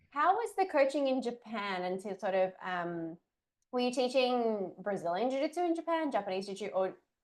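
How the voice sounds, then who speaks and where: With an Australian accent, a woman talks at a fairly quick pace in a fairly high voice with very wide pitch swings. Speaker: coaching podcast host. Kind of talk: interview.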